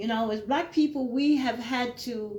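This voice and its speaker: A woman's high-pitched voice carries audible room echo. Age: 60s. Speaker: retired YouTuber. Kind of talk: opinion monologue. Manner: informal, conversational with frequent fillers.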